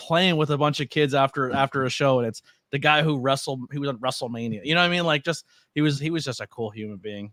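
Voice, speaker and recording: Very fast and fairly high-pitched, a man speaks with ordinary pitch variation in a very clean recording with a silent background and a dry, close sound with no echo. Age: 30s. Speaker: podcast host and wrestling commentator. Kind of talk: casual interview chat.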